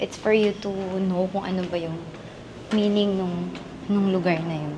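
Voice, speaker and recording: A quiet woman speaks at a fairly slow pace in a monotone, flat intonation at medium pitch. There is audible room echo and noticeable background noise. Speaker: travel vlogger. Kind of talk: travel vlog narration. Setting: inside a temple. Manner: quiet, hushed.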